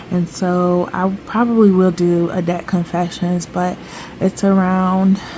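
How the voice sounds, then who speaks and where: There is noticeable background noise as a woman speaks in a medium pitch with fairly even intonation. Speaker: budgeting vlogger. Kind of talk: casual vlog talk.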